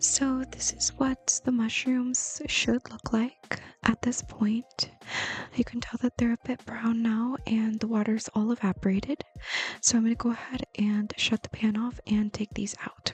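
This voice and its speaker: The speech comes at a fairly slow pace amid noticeable background noise. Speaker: ASMR creator, home cook. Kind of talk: ASMR-style cooking tutorial, soft-spoken explanation. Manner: whispered, soft-spoken.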